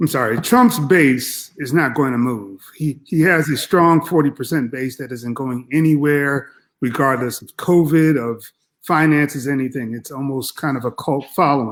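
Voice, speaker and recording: On a very clean recording with a silent background, a man talks in a normal speaking voice at a fairly high pitch. His pace is moderate and his pitch variation ordinary. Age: 60s. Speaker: professor. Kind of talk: political discussion.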